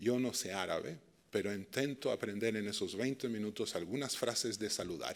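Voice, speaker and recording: Over a silent background in a very clean recording, a man with a Chilean accent talks at a moderate pace. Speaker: dialogue and peace practitioner. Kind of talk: lecture. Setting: stage with audience.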